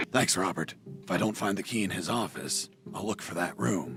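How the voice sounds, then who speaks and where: A man puts on a raspy character voice, fairly low in pitch, delivered at a fairly quick pace with lively intonation over clear background noise. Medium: video game. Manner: sardonic, profane.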